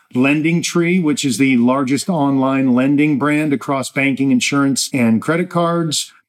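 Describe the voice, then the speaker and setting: This man has an unremarkable speaking voice. He talks at a fairly slow pace with ordinary pitch variation. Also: fairly high pitch for a man, very even loudness. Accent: American. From New Jersey. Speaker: podcast host and portfolio manager. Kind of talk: solo investment commentary.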